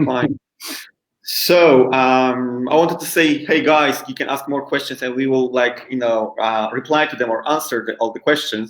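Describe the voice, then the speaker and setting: Polish accent, fairly even intonation and a moderate pace. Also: man, medium pitch for a man. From Poland. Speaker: English school founder, webinar host. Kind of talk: online English lesson. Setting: live webinar.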